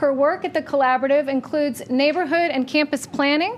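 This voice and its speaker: A woman's high voice at a fairly quick pace, ordinary pitch variation, and noticeable background noise. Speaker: library communications manager. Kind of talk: event introduction. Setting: public forum in library with audience and PA.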